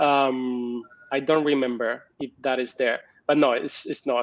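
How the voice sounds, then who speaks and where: A man with a Spanish accent. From Spain. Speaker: research professor. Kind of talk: conference talk with Q&A. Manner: hesitant with fillers.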